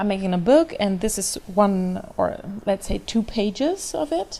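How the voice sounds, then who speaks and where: Her pitch fairly high, a woman speaks with a German accent. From Germany, Hamburg. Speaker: freelance artist. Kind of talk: commented painting tutorial. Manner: halting, many fillers.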